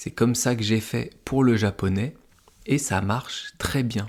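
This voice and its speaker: At a very slow pace, a man speaks in a somewhat breathy voice of medium pitch with ordinary pitch variation. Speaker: French language teacher podcaster. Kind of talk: slow educational monologue for learners. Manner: clear careful articulation.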